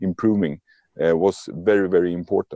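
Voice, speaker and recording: At a moderate pace, a man with a Swedish accent speaks in a dry, close recording with no echo. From Sweden. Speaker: lean and agile coach, author. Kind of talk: interview.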